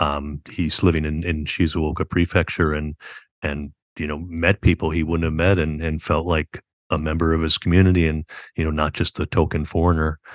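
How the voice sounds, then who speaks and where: A man with an American accent speaks very deep and low, monotone and flat, at a moderate pace. The sound is dry and close with no echo, over a quiet background. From upstate New York, US; Army brat. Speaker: author and university professor. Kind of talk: casual interview.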